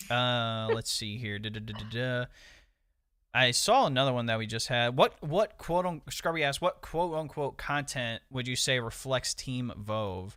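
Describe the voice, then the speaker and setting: A man with an American accent, medium pitch and ordinary pitch variation, a bright, sharp tone, and a moderate pace on a very clean recording with a silent background. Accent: Ohio half country. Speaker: gaming podcast co-host. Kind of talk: casual chat.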